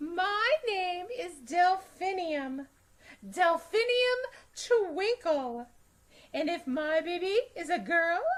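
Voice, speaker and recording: Putting on a character voice, a woman speaks at an extremely high pitch and a very slow pace, with lively intonation. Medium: read story.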